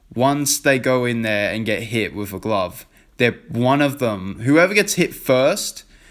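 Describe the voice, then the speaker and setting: A man speaks at a medium pitch with lively intonation in a very clean recording with a silent background. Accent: British. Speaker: YouTuber giving opinions. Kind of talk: casual vlog commentary. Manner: halting, stuttering.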